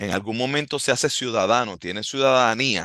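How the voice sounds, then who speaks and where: In a Puerto Rican accent, the speaker goes at a fairly slow pace with ordinary pitch variation, in a dry, close sound with no echo and a quiet background. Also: man. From Puerto Rico. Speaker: martial arts instructor, podcast host. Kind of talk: podcast monologue. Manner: halting.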